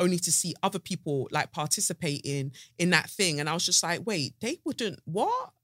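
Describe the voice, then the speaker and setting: Animated and fairly quick, a woman with a South London accent uses lively intonation at a fairly low pitch on a very clean recording with a silent background. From South London, England. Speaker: podcast host. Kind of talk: casual chat. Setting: studio.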